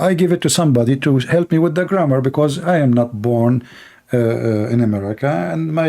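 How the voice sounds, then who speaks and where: The speaker has an Arabic accent and a dark, mellow tone. The pace is fairly quick. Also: man. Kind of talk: heated debate. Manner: animated.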